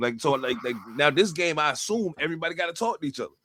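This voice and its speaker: A fairly high-pitched male voice amid noticeable background noise. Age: 50s. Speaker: podcast host and rapper. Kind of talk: casual chat.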